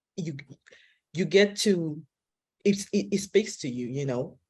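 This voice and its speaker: A woman's moderate-paced speech is heard over a quiet background. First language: not English. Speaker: film director. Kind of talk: panel discussion. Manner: halting.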